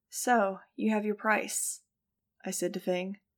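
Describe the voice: The text is plain reading aloud with fairly even intonation. The background is quiet.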